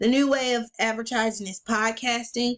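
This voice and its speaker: A woman speaks in a plain, everyday voice at a fairly high pitch and moderate pace. The recording is very clean, with a silent background. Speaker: student presenter and small business owner. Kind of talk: class presentation.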